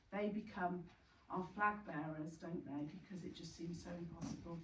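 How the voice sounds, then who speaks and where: A woman speaks at a moderate pace with ordinary pitch variation. There is audible room echo and noticeable background noise. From Yorkshire, northern England. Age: 60s. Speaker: bereaved parent speaker, retired teacher. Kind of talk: talk to support group. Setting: retreat venue with audience. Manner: hesitant, many fillers.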